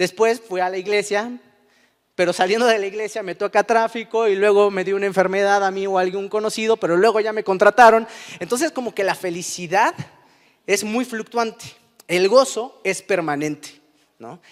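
Moderate pace and fairly even intonation from a man with a high pitch. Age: 30s. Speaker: preacher. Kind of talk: sermon.

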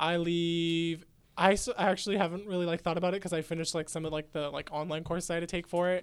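A very fast, monotone, flat man with a Midwestern accent and a high voice. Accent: Midwestern-sounding American. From California Central Valley. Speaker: graduating student. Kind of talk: casual chat.

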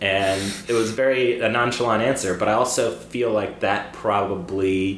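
Fairly low-pitched man at a moderate pace with fairly even intonation and very even loudness, plus audible room echo and noticeable background noise. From Cyprus. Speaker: film director and screenwriter. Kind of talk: casual chat.

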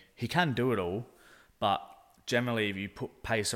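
On a very clean recording with a silent background, a man with an Australian accent speaks at a fairly quick pace with ordinary pitch variation. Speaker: football podcast co-host. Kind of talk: casual chat. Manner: animated.

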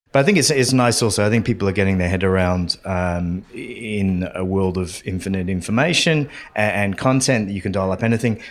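An ordinary speaking voice, fairly quick with hardly any pauses and ordinary pitch variation. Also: man, fairly low pitch for a man. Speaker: podcast host. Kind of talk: casual interview chat.

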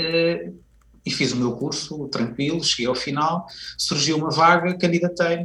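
A man with an unremarkable speaking voice talks at a fairly slow pace, his fairly high pitch moving with ordinary variation. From Portugal, Viseu. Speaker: university professor and education manager. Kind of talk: radio interview.

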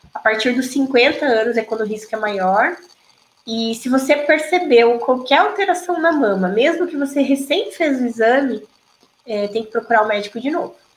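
At a moderate pace, a woman with a high voice speaks with lively intonation. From Brazil, Paraná (Toledo). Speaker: gynecologist and obstetrician. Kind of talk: interview.

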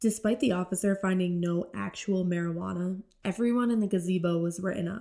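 Speaking at a fairly quick pace with an American accent, a woman uses a medium pitch, ordinary pitch variation and a dark, mellow tone. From upstate New York. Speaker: student journalist and podcast host. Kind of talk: scripted narration.

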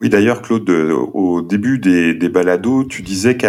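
This is an unremarkable speaking voice with ordinary pitch variation. The pace is fairly slow. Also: man. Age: 40s. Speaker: podcast team member and nurse. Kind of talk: casual chat, master of ceremonies.

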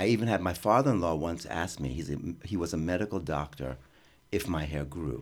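Vocal fry in a very deep, low male voice, its pitch varying in an ordinary way. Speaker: experimental theater artist. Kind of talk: interview. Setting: radio studio.

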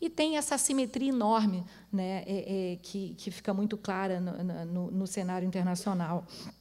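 A woman speaks at a medium pitch and moderate pace, with ordinary pitch variation. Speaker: diplomat and economist. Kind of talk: panel talk. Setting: auditorium with audience. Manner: halting.

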